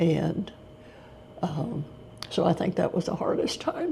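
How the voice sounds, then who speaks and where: A woman whispering at a fairly slow pace in a Texan accent, over noticeable background noise. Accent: Texan Southern US. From Texas. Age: 80s+. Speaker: retired special education teacher. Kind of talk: interview answer.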